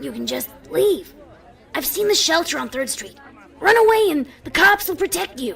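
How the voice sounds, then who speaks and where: A put-on character voice, extremely high in pitch, at a moderate speed. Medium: read story. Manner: blunt, protective.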